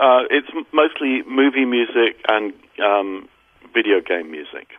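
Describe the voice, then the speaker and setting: Speaking at a fairly slow pace, a man with a British accent has a medium pitch. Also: big swings in loudness. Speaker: recording engineer. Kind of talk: interview.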